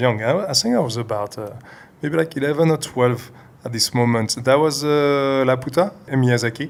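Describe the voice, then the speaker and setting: A man in a French accent speaks at a moderate pace and medium pitch, with ordinary pitch variation. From France. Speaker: CG animator. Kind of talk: interview. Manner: hesitant, many fillers.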